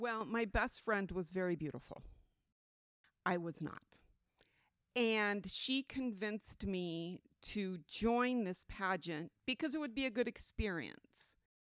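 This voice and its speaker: A woman speaks at a very slow pace. The sound is dry and close, with no echo. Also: medium pitch for a woman, lively intonation. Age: 60s. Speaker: religious testimony guest. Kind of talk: testimony. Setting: at a festival museum.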